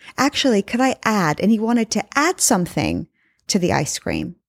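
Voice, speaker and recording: Recorded very cleanly with a silent background and a dry, close sound with no echo, a woman talks at a moderate pace in a fairly high, warm voice with vocal fry and lively intonation. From England. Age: 30s. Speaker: podcast host and life coach. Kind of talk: solo podcast monologue. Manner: conversational, warm.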